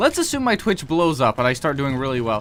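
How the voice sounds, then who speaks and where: Very wide pitch swings in a man's speech, with music playing behind. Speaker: gaming streamer. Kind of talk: casual chat. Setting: live stream.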